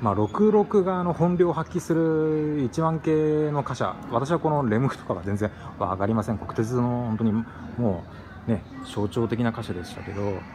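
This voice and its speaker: A man talks with very wide pitch swings. Noticeable background noise sits behind him. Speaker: former freight train driver. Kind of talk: casual talk to camera. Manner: fast. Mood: nostalgic, enthusiastic. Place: hall. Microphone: phone near.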